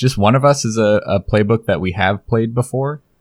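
With lively intonation, a man speaks in an ordinary speaking voice, recorded very cleanly against a silent background with a dry, close sound and no echo. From Oregon, US. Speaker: podcast cast member and player. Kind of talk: casual chat. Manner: joking, playful.

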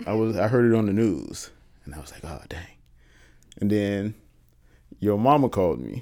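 At a moderate pace, the speaker's dark, mellow voice moves with lively intonation, big swings in loudness and long, frequent pauses. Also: man, fairly low pitch for a man. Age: 30s. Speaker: podcast co-host. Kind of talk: casual chat.

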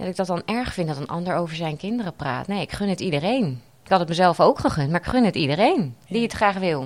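Speaking at a very fast pace with hardly any pauses, a woman uses lively intonation at a fairly low pitch. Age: 30s. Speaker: patient sharing her story. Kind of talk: interview testimony. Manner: halting, many fillers.

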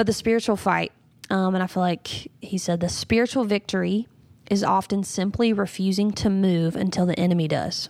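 The woman's intonation is fairly even and her loudness very even as she speaks at a moderate pace in a very clean recording with a silent background. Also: medium pitch for a woman. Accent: Southern US. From North Carolina, US South. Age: 30s. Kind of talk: interview conversation.

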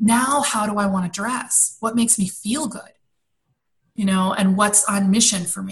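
Somewhat breathy, a woman speaks with an American accent and fairly even intonation. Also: medium pitch for a woman, moderate pace. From Washington D.C. area, after childhood in Belgium and London. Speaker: personal style coach and entrepreneur. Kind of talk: interview.

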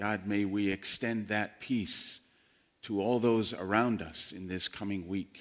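In a very clean recording with a silent background, a man with an ordinary speaking voice talks at a fairly slow pace, with a fairly low pitch and fairly even intonation. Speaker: pastor. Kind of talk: sermon. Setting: church. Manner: conversational, teaching.

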